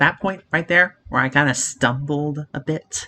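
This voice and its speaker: A man speaks with vocal fry. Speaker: YouTuber reacting to his old video. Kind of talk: casual commentary. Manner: some stumbling, filler words.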